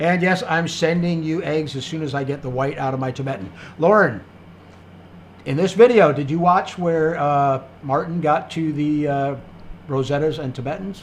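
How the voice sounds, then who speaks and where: There is audible room echo around a somewhat breathy male voice. He talks at a moderate pace with ordinary pitch variation. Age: 60s. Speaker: livestream host, quail breeder. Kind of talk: live stream Q&A, reading chat comments. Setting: live stream. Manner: casual, many fillers.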